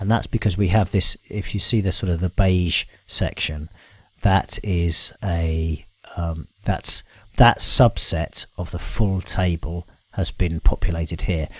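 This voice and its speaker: Very deep and low, a man's voice sounds somewhat breathy with fairly even intonation. The recording is very clean, with a silent background. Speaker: software tool presenter. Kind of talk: screen-share tutorial. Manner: hesitant, many fillers.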